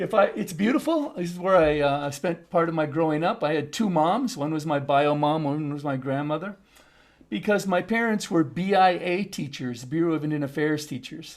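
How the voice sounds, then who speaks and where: Recorded very cleanly against a silent background, a man talks at a moderate pace with a fairly high pitch and ordinary pitch variation. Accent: American. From US Upper Midwest (North Dakota, Minnesota). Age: 60s. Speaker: international education consultant. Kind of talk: talk to a group.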